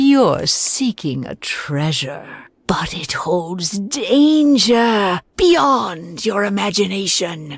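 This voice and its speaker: A woman's put-on character voice at a medium pitch, very slow and with hardly any pauses, swinging very widely in pitch. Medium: video game. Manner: mystical, portentous.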